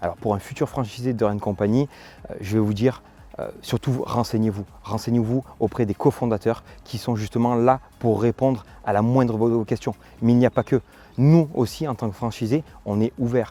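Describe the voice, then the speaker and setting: A man's medium-pitched voice with a dark, mellow tone and fairly even intonation, at a moderate pace in a dry, close sound with no echo. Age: 30s. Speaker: franchise owner. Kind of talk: testimonial interview. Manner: hesitant, many filler sounds.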